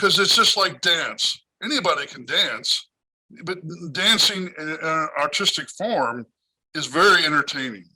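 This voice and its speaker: A man talks at a moderate pace, stopping often for long pauses. His loudness swings widely from one moment to the next. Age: 60s. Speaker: magician. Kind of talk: interview.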